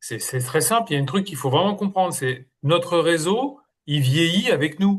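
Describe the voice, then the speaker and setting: Somewhat breathy male speech at a moderate pace, lively in intonation, over a quiet background. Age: 60s. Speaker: interim manager. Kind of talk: group discussion.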